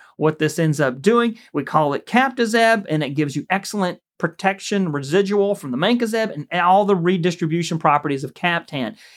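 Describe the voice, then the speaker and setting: A man with a high voice speaks at a fairly quick pace with lively intonation and hardly any pauses. The recording is very clean, with a silent background. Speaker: plant pathologist. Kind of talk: extension briefing. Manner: casual, conversational.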